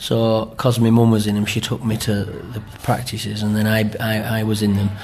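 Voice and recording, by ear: In a room with audible echo, a man speaks at a moderate pace and fairly low pitch, his slightly mellow tone carrying monotone, flat intonation.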